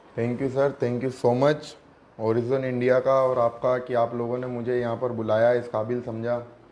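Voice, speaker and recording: There is noticeable background noise behind this man. His pitch is medium and his intonation monotone and flat. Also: moderate pace. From India, Ajmer (Rajasthan). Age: 20s. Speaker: local election candidate. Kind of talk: interview.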